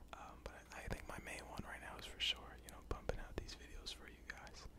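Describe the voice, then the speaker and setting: A man whispers at a fairly quick pace with an American accent. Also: big swings in loudness. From United States. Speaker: ASMR YouTuber. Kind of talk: casual Q&A talk to camera. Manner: casual, conversational, friendly. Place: home room. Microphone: studio mic.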